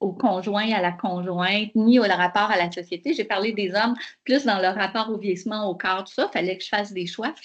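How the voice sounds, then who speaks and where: A woman speaks at a moderate pace and medium pitch in an unremarkable speaking voice. Her pitch variation is ordinary, while her loudness swings widely. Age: 60s. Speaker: professor. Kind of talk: webinar Q&A answer.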